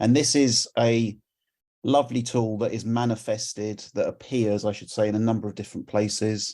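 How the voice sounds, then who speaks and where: A medium-pitched man with a London accent, dark and mellow in tone, at a moderate pace. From England, London. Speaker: community volunteer presenter. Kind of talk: conference presentation.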